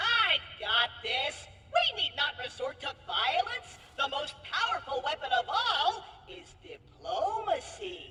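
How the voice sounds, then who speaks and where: A put-on character voice, extremely high-pitched with very wide pitch swings, at a fairly slow pace, with clear echo and light background noise. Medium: video game. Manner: boastful, excitable.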